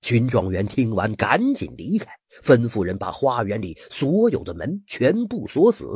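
The clip is plain reading aloud. It is simply read out.

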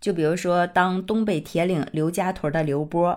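A woman's fairly low voice at a moderate pace, on a very clean recording with a silent background. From Northeast China. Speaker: podcast host. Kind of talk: casual monologue.

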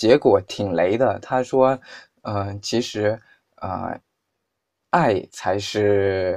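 A man's fairly low voice at a very slow pace, with ordinary pitch variation, over a quiet background. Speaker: podcast host. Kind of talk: casual chat.

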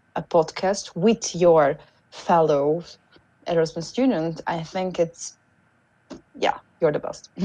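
In a Hungarian accent, a woman speaks with a fairly low pitch and a dark, mellow tone. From Hungary. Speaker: former exchange student. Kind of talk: casual chat. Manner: halting.

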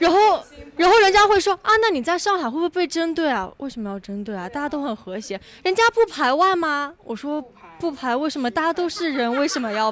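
Very wide pitch swings mark this fairly quick delivery, heard over noticeable background noise. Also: woman, high pitch for a woman. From Kunming, Yunnan. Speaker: advertising worker. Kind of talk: casual group chat.

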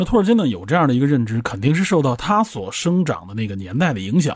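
A man talks at a very fast pace with a fairly high pitch and a somewhat breathy sound. The recording is very clean, with a silent background. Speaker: podcast host. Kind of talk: solo explanatory monologue.

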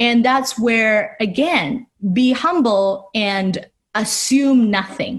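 A woman talks at a very slow pace in a fairly high pitch. Her voice is somewhat breathy. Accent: Chinese. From China, Shanghai. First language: Mandarin Chinese. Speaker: designer and artist. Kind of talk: interview.

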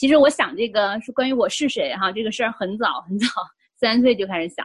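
Somewhat breathy and fairly high in pitch, a woman talks at a fairly quick pace with very wide pitch swings. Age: 40s. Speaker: life coach and psychotherapist. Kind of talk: interview, personal testimony. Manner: hesitant, many fillers.

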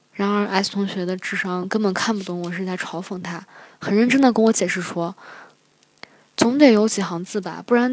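With an unremarkable speaking voice, a woman talks at a moderate pace and medium pitch, her pitch varying in an ordinary way while her loudness swings widely. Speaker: international graduate student. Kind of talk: personal storytelling.

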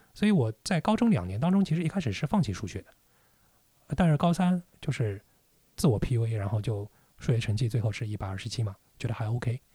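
Speaking at a fairly quick pace with long, frequent pauses, a man uses a medium pitch with very wide pitch swings and a dark, mellow, somewhat breathy tone, recorded very cleanly with a silent background and a dry, close sound with no echo. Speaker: entrepreneur and business owner. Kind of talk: casual chat.

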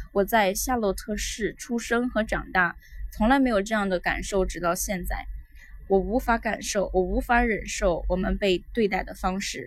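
This woman talks at a moderate pace with a medium pitch, ordinary pitch variation and some vocal fry. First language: Mandarin Chinese. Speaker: English teacher. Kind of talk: language lesson, repeating and translating.

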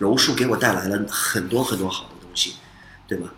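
Noticeable background noise and audible room echo surround a man's voice. He speaks at a moderate pace with fairly even intonation. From United States (moved from Beijing as small child). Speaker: Brazilian jiu-jitsu instructor and fight promoter. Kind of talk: casual interview. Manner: many hesitations and fillers.

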